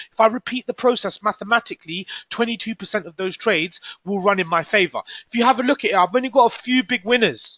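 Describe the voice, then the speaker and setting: Speaking very fast with a British accent, a man with a high voice sounds animated, his pitch varying in an ordinary way. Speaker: forex trader and trading coach. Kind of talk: live trading room commentary.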